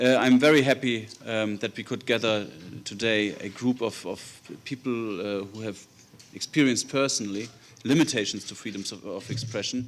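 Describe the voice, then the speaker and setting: The pace is moderate. A man talks with a German accent. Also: medium pitch for a man, fairly even intonation, big swings in loudness. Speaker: politician. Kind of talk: formal opening remarks. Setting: conference hall with audience.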